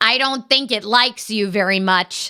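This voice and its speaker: A woman puts on a character voice and speaks at a moderate pace. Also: fairly high pitch for a woman. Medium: read story. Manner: quippy, flippant.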